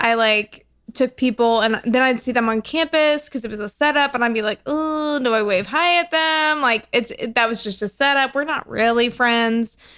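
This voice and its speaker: Using ordinary pitch variation, a woman speaks in a normal speaking voice that sits fairly high for a woman. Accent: American. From US South. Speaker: podcast guest, small group leader. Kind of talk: casual chat.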